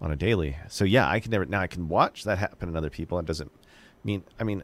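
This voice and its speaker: A man talks with vocal fry. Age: 40s. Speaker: podcast producer. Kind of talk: casual chat. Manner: animated.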